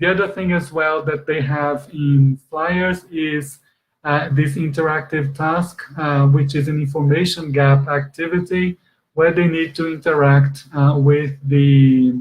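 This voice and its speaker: A man's somewhat breathy, fairly high voice in a monotone, flat intonation. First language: Portuguese. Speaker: exam expert presenter. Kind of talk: webinar lecture. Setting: online conference. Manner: halting, many fillers.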